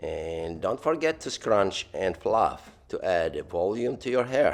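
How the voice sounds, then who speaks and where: A man keeps to a fairly slow pace while music plays in the background. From Lebanon. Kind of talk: playful tutorial voiceover. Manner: humorous.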